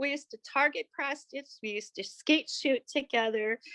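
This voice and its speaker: Against a quiet background, a woman with a plain, everyday voice speaks at a moderate pace with ordinary pitch variation. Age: 60s. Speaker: artist and writer. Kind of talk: reading aloud a personal essay; personal testimony.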